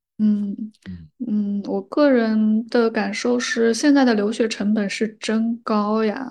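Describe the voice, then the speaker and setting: Against a quiet background, a woman with a somewhat breathy, fairly high voice speaks at a very slow pace with fairly even intonation. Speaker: podcaster and counselor. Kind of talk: casual chat.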